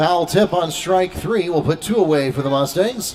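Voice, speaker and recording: A man's high-pitched voice at a moderate pace, lively in intonation, over noticeable background noise. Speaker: sports commentator and public address announcer. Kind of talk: live commentary.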